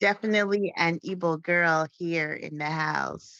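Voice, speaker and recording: A woman speaks in a normal speaking voice with ordinary pitch variation at a fairly slow pace, the sound dry and close with no echo. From US, Cameroonian family. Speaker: podcast co-host. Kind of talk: casual chat.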